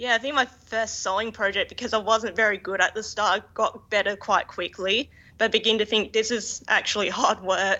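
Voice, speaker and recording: With an Australian accent, the speaker keeps a moderate pace and fairly even intonation, with hardly any pauses. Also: woman. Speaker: fashion designer. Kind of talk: interview.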